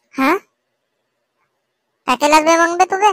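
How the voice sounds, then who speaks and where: A woman does a squeaky, put-on character voice at an extremely high pitch, speaking at a moderate pace with a dry, close sound and no echo. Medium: comedy sketch. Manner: rustic, repetitive 'बे' filler.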